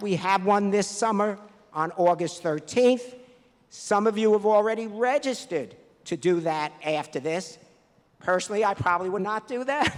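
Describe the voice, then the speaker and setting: A man with a New York accent speaks at a moderate pace. His pitch is high, with ordinary variation. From New York, the Bronx. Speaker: math competition director. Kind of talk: awards ceremony speech.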